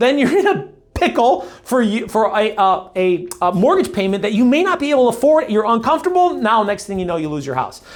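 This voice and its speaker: The speaker talks at a fairly quick pace in an animated tone, on a very clean recording with a silent background. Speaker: real estate agent. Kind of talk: market update monologue; sales pitch. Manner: fast.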